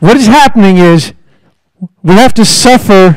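A man talks at a moderate pace over a quiet background. The sound is dry, with no echo. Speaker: speaker. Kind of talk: public talk. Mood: mildly irritated about microphones. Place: hall. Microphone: handheld.

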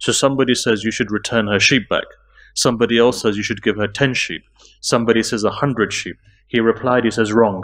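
A man's voice against a quiet background. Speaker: religious lecturer. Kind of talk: sermon. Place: hall. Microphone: podium.

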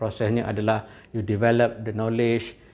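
The intonation is monotone and flat, and the pace is fairly slow. Audible room echo surrounds the voice. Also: man. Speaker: university finance lecturer. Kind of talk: online lecture. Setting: live stream with camera and whiteboard.

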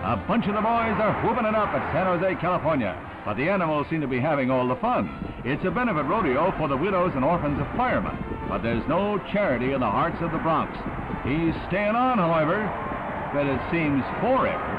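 Loud background noise fills the recording. Over it, a man talks at a fairly quick pace. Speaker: newsreel narrator. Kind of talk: 1960s newsreel narration. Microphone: old recording.

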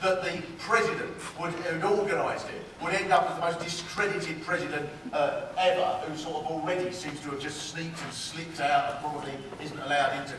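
A man's high voice at a fairly quick pace with fairly even intonation, light background noise and audible room echo. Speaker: speaker. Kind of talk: political speech with comedy. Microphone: camera far.

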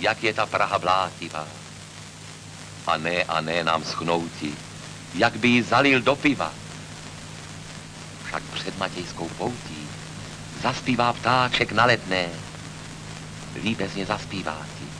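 A man with a very deep, low pitch speaks very slowly, with long, frequent pauses and lively intonation. Music plays in the background. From Czech Republic. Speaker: poet. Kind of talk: poetry reading. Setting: old film recording. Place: home room. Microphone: old recording.

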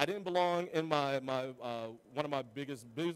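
Pitch variation in this man's voice is ordinary. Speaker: conference presenter. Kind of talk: conference talk. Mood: reflective, self-deprecating. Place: hall.

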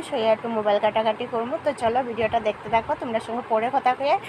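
Over noticeable background noise, a woman with a fairly high pitch talks with fairly even intonation. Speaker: vlogger and housewife. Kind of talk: casual vlog narration.

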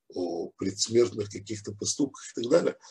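Over a quiet background, a man talks at a fairly slow pace in a somewhat breathy voice. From Ukraine, Odessa; Ukraine. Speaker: rabbi, Torah teacher; religious teacher. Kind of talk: religious lecture. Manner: hesitant, many filler sounds. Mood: calm, reflective. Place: home room. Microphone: video call.

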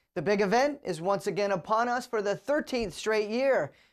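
A woman with lively intonation against a quiet background. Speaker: news anchor. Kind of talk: news bulletin read. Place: studio.

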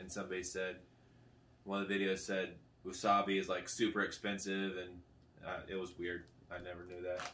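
A man talks at a moderate speed while noticeable background noise fills the recording. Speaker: food review vlogger. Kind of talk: casual vlog chat. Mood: relaxed, joking. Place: home room. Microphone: camera far.

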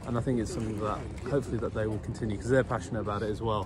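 A man is heard over noticeable background noise. The sound is dry, with no echo. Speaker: guest. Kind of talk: interview answer. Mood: earnest, passionate. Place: street. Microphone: phone near.

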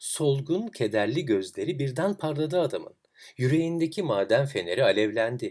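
With big pitch swings around a medium pitch, a man speaks at a moderate pace in a slightly mellow tone.

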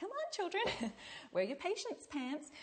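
A woman does a squeaky, put-on character voice at an extremely high pitch. Her pitch swings very widely while she keeps a moderate pace. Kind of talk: tutorial. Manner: bossy, sing-song teacher tone. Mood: playful, joking.

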